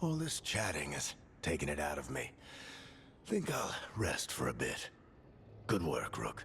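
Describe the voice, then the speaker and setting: Someone performs in a put-on character voice. Noise in the background comes through clearly. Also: man. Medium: video game. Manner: gruff, warm, fatherly.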